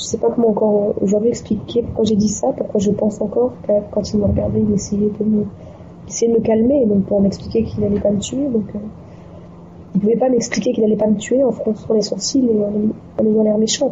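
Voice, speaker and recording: Over noticeable background noise, a woman with a fairly high pitch talks at a fairly quick pace, keeping very even loudness and fairly even intonation. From Djibouti. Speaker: novelist. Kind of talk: casual chat.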